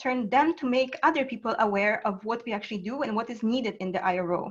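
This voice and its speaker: This woman talks at a very fast pace. Her fairly high voice has lively intonation. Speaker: international relations office manager. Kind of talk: online seminar presentation. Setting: online video seminar. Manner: halting, many fillers.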